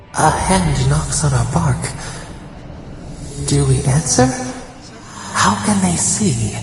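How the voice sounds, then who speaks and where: A cartoonish character voice with a very deep, low pitch speaks at a fairly slow pace, with strong echo and clear background noise. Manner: cryptic, dreamy, speaks as "we".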